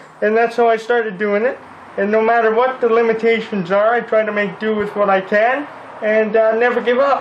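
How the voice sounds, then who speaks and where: Amid audible room echo and noticeable background noise, a high-pitched man speaks in a flat monotone at a very even loudness. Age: 20s. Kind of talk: interview. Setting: repair shop.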